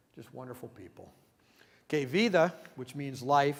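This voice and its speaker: A man is heard with audible room echo. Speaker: missionary reporting on a mission trip. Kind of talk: church presentation with slides. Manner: fast.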